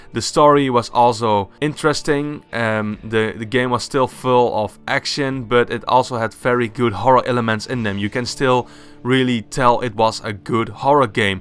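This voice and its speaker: Over music in the background, a man with a Dutch accent speaks at a moderate pace and medium pitch, with fairly even intonation and hardly any pauses. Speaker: gaming YouTuber. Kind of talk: casual video game review monologue.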